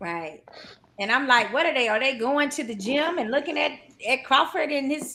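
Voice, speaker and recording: With a North Carolina accent, a woman projects a raised voice at a high pitch, her intonation lively. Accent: North Carolina Southern drawl. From US South, North Carolina. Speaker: boxing podcast co-host. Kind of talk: casual chat.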